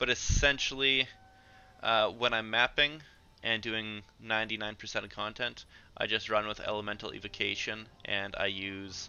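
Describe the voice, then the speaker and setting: A man in an unremarkable speaking voice talks at a moderate pace, his fairly low pitch paired with fairly even intonation. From Canada. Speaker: video game streamer. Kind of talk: live stream gameplay commentary.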